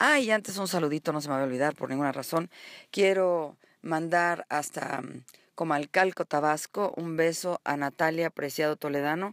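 In an ordinary speaking voice, a woman talks at a moderate pace with ordinary pitch variation. The recording is very clean and dry, close with no echo, over a silent background. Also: fairly low pitch for a woman. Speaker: TV interview show host. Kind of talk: show opening monologue; interview.

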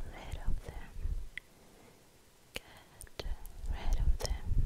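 A whispering voice goes along at a very slow pace. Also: woman. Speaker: ASMR artist. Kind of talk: ASMR whispered roleplay. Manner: whispered. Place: home room. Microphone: studio mic.

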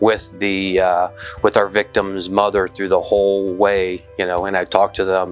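Fairly low-pitched male speech at a moderate pace, monotone and flat, over faint music in the background. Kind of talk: interview answer. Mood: earnest, reflective. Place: office. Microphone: lapel.

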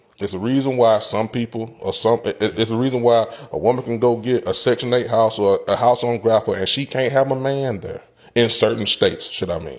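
The speaker talks at a fairly quick pace with ordinary pitch variation. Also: man, medium pitch for a man.

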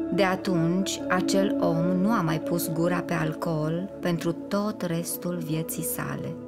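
Over music in the background, a woman speaks at a very slow pace with hardly any pauses. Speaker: audiobook narrator. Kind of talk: spiritual audiobook reading. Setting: studio.

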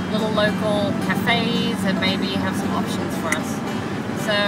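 Clear music plays behind a woman as she talks. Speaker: road trip vlogger. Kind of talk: casual vlog chat. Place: car. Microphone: phone near.

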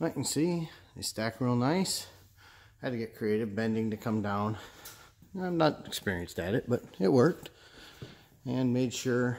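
At a moderate pace, a man talks with lively intonation and long, frequent pauses. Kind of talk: casual vlog chat. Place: garage. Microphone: phone near.

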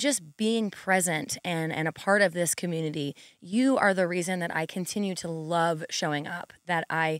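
A woman speaks at a moderate pace with ordinary pitch variation, in a dry sound with no echo and a quiet background. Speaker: podcast host, fitness trainer. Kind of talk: podcast monologue to listeners. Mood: warm, grateful, enthusiastic. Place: studio. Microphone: studio mic.

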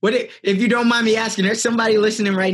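A man speaks in an energetic tone. The background is quiet. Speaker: podcast host. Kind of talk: interview. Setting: remote call. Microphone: video call.

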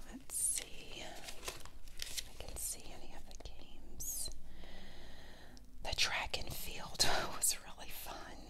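A woman whispers, speaking at a very slow pace. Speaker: ASMR creator. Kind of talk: casual show-and-tell talk to camera.

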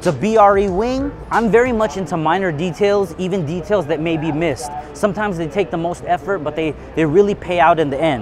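Faint music plays behind a man with a high pitch and a fairly quick pace. The sound is dry, with no echo. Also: ordinary pitch variation. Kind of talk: walkaround explanation. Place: hall.

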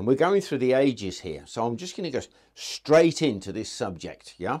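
Vocal fry runs through this voice, which moves at a fairly quick pace. Its pitch swings very widely against a quiet background. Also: man. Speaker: presenter. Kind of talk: casual tutorial. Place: studio. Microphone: lapel.

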